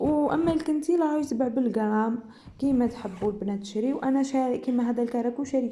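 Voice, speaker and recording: A woman with an Algerian accent, high-pitched, with a dark, mellow tone, a fairly quick pace and ordinary pitch variation. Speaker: sewing and embroidery youtuber. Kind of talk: casual chat.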